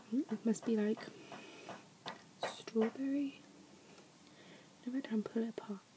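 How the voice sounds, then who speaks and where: Whispering and soft-spoken, a woman speaks at a moderate pace with long, frequent pauses amid noticeable background noise. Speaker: ASMR creator. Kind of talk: ASMR whispered talk to camera. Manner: whispered, soft.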